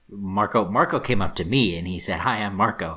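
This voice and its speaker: The man's voice sits at a fairly low pitch. Its tone is bright and sharp. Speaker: podcast co-host. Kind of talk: casual chat. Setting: studio.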